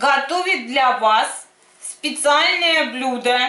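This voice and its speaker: A woman uses a raised, projected voice at a very slow pace. Her pitch varies in an ordinary way, and audible room echo surrounds it. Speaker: home cooking vlogger. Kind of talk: casual cooking tutorial chat. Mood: cheerful, humorous. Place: kitchen. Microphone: camera far.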